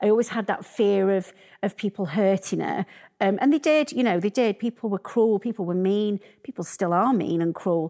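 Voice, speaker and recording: A woman with a Yorkshire accent, dark and mellow in tone, at a moderate pace in a very clean recording with a silent background. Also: medium pitch for a woman, ordinary pitch variation, dry, close sound with no echo. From northern England, Sheffield. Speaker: arts business founder. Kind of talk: interview. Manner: halting.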